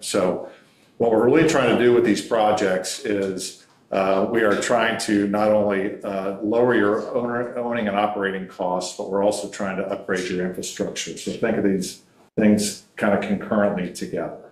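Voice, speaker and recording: Audible room echo and clear background noise fill the recording. Intonation is fairly even, and the tempo is medium. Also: man, fairly low pitch for a man. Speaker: energy services sales representative. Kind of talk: business presentation at a public meeting. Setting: county council meeting room.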